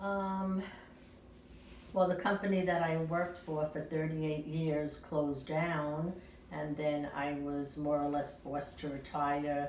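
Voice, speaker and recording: A woman's very deep, low voice with fairly even intonation at a fairly slow pace, amid audible room echo and noticeable background noise. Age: 70s. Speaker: retiree being interviewed. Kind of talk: personal interview. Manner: hesitant, many filler sounds.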